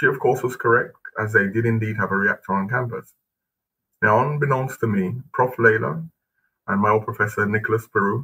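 Bright and sharp in tone, a man talks at a fairly quick pace with ordinary pitch variation. He takes long, frequent pauses. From England (southeast London). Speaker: professor giving lecture. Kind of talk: lecture. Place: home room. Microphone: webcam.

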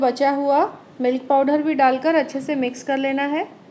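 Light background noise sits behind a woman with a high pitch. She speaks at a fairly slow pace with fairly even intonation. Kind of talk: tutorial. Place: kitchen.

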